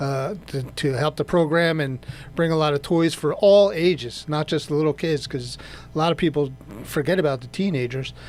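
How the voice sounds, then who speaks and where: Music plays in the background as a man with an American accent speaks at a moderate pace, his pitch fairly high with ordinary pitch variation. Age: 60s. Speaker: radio co-host, garage owner. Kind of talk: casual radio chat.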